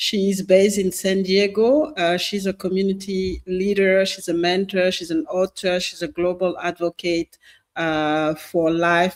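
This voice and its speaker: In a French accent, a woman speaks at a fairly slow pace with a fairly low pitch and fairly even intonation, on a very clean recording with a silent background. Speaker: podcast host. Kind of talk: show introduction. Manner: halting, many fillers and repetitions.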